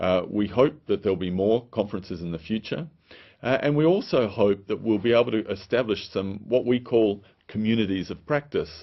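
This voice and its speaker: Speaking with an Australian accent, a man has a fairly low pitch. He moves at a fairly quick pace with ordinary pitch variation. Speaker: public health official. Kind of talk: recorded video presentation. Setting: pre-recorded remote message. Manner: hesitant, many fillers.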